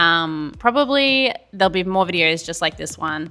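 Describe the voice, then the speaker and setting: This woman has a fairly low-pitched voice with a bright, sharp tone. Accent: Australian. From Australia. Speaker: YouTuber opening trading card packs. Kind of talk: casual unboxing vlog. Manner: casual, chatty with fillers.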